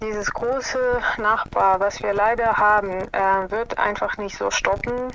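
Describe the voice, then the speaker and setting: A woman speaks at a very slow pace and a fairly high pitch. Noticeable background noise runs underneath. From Ukraine, Kyiv. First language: Russian and Ukrainian (speaking German). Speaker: scientist. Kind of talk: interview. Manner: hesitant, many fillers. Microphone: smartphone line with interference noise.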